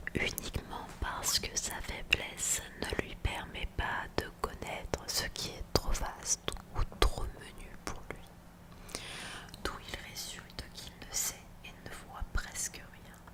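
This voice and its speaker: A woman whispers in an intense tone at a very slow pace over noticeable background noise. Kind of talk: ASMR story reading. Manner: intense whispers.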